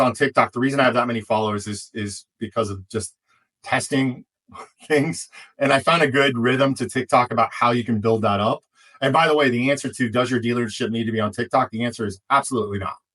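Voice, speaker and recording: A man with a medium pitch talks at a fairly quick pace, his tone bright and sharp, with ordinary pitch variation and a dry, close sound with no echo. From US Midwest, Kansas City. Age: 40s. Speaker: automotive digital marketing consultant. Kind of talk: podcast interview. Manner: casual, animated.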